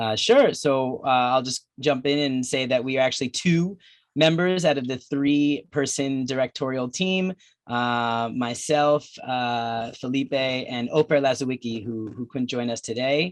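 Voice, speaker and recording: Against a quiet background, a man with a New Jersey accent speaks fairly slowly at a medium pitch with ordinary pitch variation. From New Jersey, US. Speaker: documentary filmmaker. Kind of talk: film Q&A.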